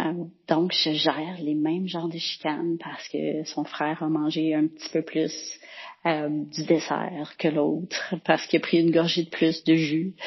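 In a Quebec accent, a woman with a very deep, low pitch speaks at a fairly slow pace in a flat monotone. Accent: Québécois French. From Quebec, Boucherville. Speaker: travelling mother leaving a listener message. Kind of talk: voicemail message.

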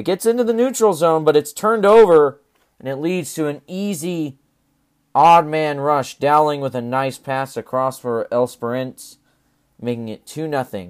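A man with a fairly high pitch speaks at a moderate pace with lively intonation, an ordinary speaking voice. The recording is very clean and dry, close-sounding with no echo and a silent background. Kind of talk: live sports commentary, play-by-play over game highlights; sports podcast recap.

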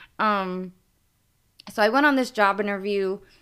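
In a very clean recording with a silent background, a woman with a New York accent speaks at a medium pitch with ordinary pitch variation. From New York, Brooklyn. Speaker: TV promo creative director. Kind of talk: interview.

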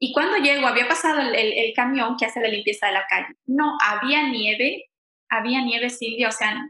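This woman speaks with a high pitch and ordinary pitch variation. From Ecuador, Quito. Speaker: immigrant, bank employee. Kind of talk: interview testimony. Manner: halting, many repetitions and fillers.

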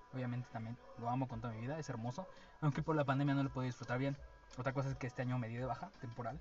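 Background noise can be clearly heard. Over it, a man talks very fast. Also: medium pitch for a man, fairly even intonation. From Veracruz, Mexico. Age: 20s. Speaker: podcast co-host, student. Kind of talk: casual chat. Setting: studio.

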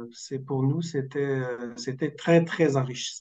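A man speaks with fairly high pitch and a dark, mellow tone. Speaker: theatre troupe member. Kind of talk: radio interview.

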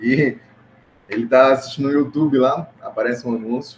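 A man talks at a fairly quick pace with a medium pitch. His pitch varies in an ordinary way, and there is noticeable background noise. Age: 20s. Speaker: digital ads manager. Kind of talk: casual interview.

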